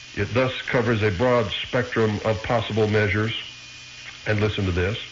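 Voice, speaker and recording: With an American accent, a man speaks at a moderate pace in a fairly low, monotone, flat voice of very even loudness, amid audible room echo and noticeable background noise. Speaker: radio host. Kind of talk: radio monologue.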